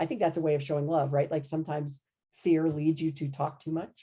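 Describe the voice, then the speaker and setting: The tone is dark and mellow. The pace is fairly quick. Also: woman. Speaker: anesthesiology professor. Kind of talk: podcast interview. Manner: loud.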